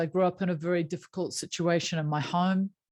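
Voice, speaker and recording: With a New Zealand accent, a woman talks at a moderate pace in a fairly low voice, recorded very cleanly against a silent background. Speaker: happiness coach. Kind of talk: interview.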